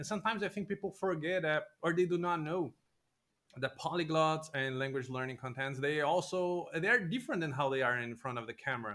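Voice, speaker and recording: Bright and sharp in tone, a man with a Portuguese accent talks at a fairly quick pace and fairly high pitch with lively intonation. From Brazil. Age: 20s. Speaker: podcast host. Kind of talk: interview conversation.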